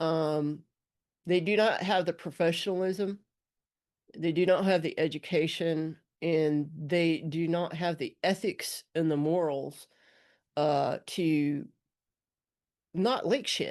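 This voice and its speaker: With an Alabama accent, a woman speaks at a very slow pace and fairly low pitch, using long, frequent pauses and fairly even intonation against a quiet background. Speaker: former border patrol agent and activist. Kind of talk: commentary monologue. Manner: slurs words sometimes; casual, with fillers.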